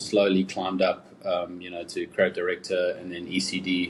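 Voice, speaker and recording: A man speaks with a South African accent. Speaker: advertising creative director. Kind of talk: interview. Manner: casual, many fillers.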